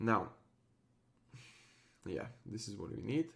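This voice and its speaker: At a fairly slow pace, a man speaks at medium pitch. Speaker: tech tutorial creator. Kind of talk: tutorial. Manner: hesitant, many fillers.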